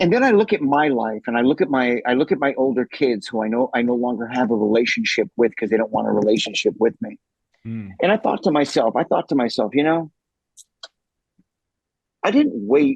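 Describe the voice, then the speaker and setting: A man talks in a plain, everyday voice at a fairly quick pace, with medium pitch and lively intonation. The sound is dry and close, with no echo. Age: 60s. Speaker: motivational speaker. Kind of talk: interview answer.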